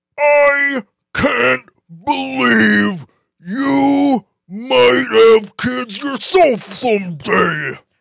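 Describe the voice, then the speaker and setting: A raspy, strained put-on character voice at a very slow pace with very wide pitch swings. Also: man, high pitch for a man. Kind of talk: comic overacting. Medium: talk show. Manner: indignant, preachy, yelling.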